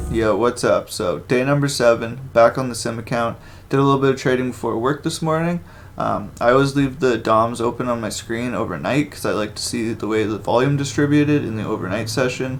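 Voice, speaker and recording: A normal speaking voice from a man, medium in pitch, with ordinary pitch variation and a fairly quick pace. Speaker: day trader. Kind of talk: trading session commentary; casual vlog intro.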